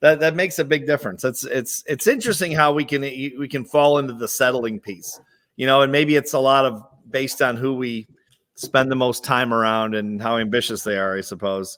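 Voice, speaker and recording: Talking at a fairly quick pace, a man uses a medium pitch and ordinary pitch variation. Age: 50s. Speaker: interview host. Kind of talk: interview. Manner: hesitant, repetitive.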